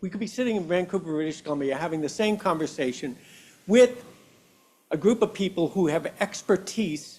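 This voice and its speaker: At a moderate pace, a man with a high pitch speaks with lively intonation. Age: 70s. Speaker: public commenter at community meeting. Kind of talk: public comment at meeting.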